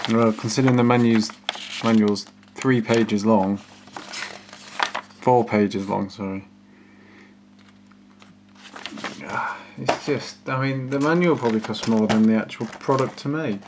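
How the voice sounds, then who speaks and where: Noticeable background noise sits under speech broken by long, frequent pauses. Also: moderate pace. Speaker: gadget reviewer. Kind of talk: casual review commentary. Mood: dismissive, wry. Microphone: phone near.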